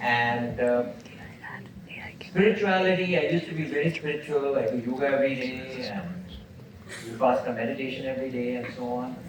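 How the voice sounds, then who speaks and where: Amid noticeable background noise and audible room echo, a man of medium pitch talks fairly quickly with lively intonation and long, frequent pauses. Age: 70s. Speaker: entrepreneur and entrepreneurship teacher. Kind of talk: lecture Q&A. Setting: university auditorium with audience.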